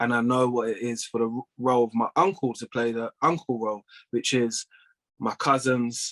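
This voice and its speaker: In a London accent, a man talks at a moderate pace and medium pitch. The sound is dry and close, with no echo. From North London, England. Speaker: plumbing business owner and former judo athlete. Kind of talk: casual interview chat.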